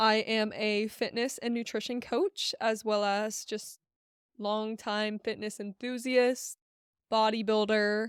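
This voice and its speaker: Speaking very slowly in a monotone, flat intonation, a woman with a fairly high pitch is heard on a very clean recording with a silent background. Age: 20s. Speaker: fitness coach and podcast host. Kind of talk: casual solo podcast talk. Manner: casual, filler-heavy.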